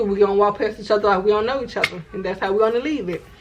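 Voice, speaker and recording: Over noticeable background noise, a woman talks at a very fast pace in an animated tone, her pitch fairly high. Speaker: YouTuber. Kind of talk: casual storytime vlog.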